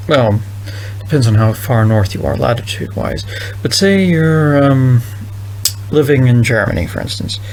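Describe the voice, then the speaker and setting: A man's voice moves at a moderate pace with ordinary pitch variation, accompanied by noticeable background noise and audible room echo. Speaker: vlogger thinking out loud. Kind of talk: casual monologue. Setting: recording alone at night. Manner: halting.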